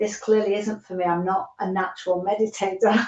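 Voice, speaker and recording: In a British accent, a woman speaks at a medium pitch and a moderate pace. Her intonation is monotone and flat. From United Kingdom. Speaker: holistic coach, former nurse. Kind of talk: podcast interview answer.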